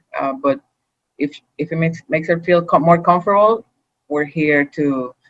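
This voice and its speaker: A woman's fairly low-pitched voice with ordinary pitch variation, music in the background. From Puerto Rico. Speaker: human rights activist. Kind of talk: panel discussion. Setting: remote video call.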